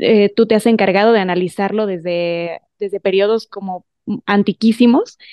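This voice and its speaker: A woman speaks in a normal speaking voice at a medium pitch. Her intonation is fairly even and her pace moderate. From Mexico. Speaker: broadcaster and voice actress. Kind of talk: interview. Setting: video call.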